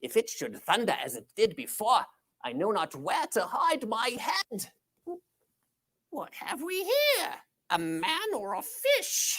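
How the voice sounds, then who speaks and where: A female-sounding, put-on character voice at high pitch moves at a fairly slow pace with long, frequent pauses. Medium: stage play. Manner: fearful, comic.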